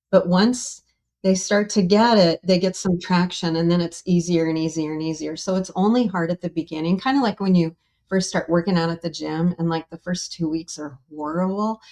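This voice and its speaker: In an American accent, a woman with a fairly low pitch and a dark, mellow tone speaks at a moderate pace with fairly even intonation, the sound dry and close with no echo. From Wyoming, US. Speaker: experiencer of close encounters. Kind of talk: casual interview conversation.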